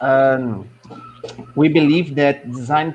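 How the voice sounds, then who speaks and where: A man with a non-native accent speaks at a very slow pace with ordinary pitch variation. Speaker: professor. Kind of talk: presentation.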